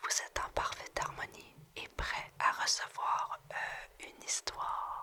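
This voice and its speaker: A woman whispers at a very slow pace with big swings in loudness. Noticeable background noise is present. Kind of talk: guided meditation.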